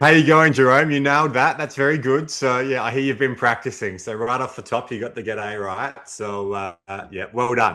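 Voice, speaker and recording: A man's bright, sharp voice at medium pitch and moderate pace, ordinary pitch variation, hardly any pauses, and a quiet background. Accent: Australian. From Australia, Adelaide, South Australia. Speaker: dentist who sold his practice. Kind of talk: podcast interview.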